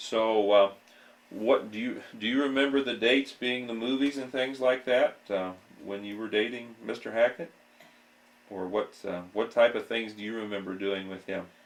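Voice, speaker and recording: With an Ohio accent, a medium-pitched man talks at a moderate pace with fairly even intonation and big swings in loudness. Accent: Midwestern US, Ohio. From Ohio, Apple Creek. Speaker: local history interviewer. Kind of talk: oral history interview. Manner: polite, hesitant.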